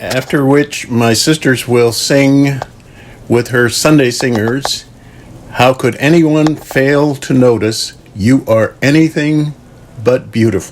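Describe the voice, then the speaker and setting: With an American accent, a man talks very slowly at a medium pitch and very even loudness. Noticeable background noise sits behind him. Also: fairly even intonation. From United States. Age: 80s+. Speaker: author and civil rights activist. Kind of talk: interview. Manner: halting.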